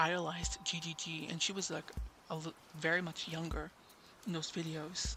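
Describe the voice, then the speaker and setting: With long, frequent pauses, a man speaks at a moderate pace in a fairly high pitch, his flat, monotone intonation carrying vocal fry and a bright, sharp tone. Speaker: YouTuber livestreamer. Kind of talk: casual livestream chat. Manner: halting, many self-corrections.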